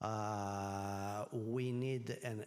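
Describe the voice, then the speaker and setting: A man speaks with a Greek accent at a fairly low pitch and fairly even intonation. Audible room echo surrounds the voice. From Greece. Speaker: energy regulator and professor. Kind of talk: conference panel talk. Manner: halting, many fillers.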